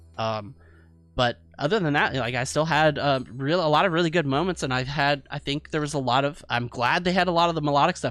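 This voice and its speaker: Over music in the background, a man talks at a fairly quick pace, with a fairly high pitch and ordinary pitch variation. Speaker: music reviewer streamer. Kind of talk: album review discussion. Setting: live stream. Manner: fast; casual with many fillers.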